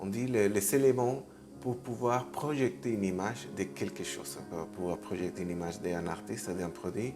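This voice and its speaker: The intonation is lively, in a non-native accent. Music plays in the background, and the room echo is audible. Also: man, fairly low pitch for a man, moderate pace. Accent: non-native French, noticeable. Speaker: artist agent, YouTuber. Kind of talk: video talk, tutorial. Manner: halting, many fillers and repetitions.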